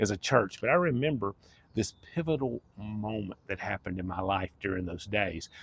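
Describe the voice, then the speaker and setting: Here a man speaks with a fairly low pitch and an American accent. His pace is moderate. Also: dry, close sound with no echo. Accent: Southern US, redneck-sounding. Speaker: life coach, former pastor. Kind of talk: personal testimony. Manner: casual, conversational.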